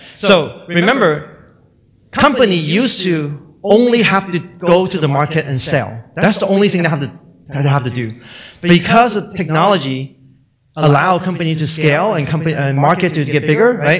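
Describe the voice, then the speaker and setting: A man's high voice with lively intonation and audible room echo. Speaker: conference speaker, company chief scientist. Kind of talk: conference talk. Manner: fast when excited.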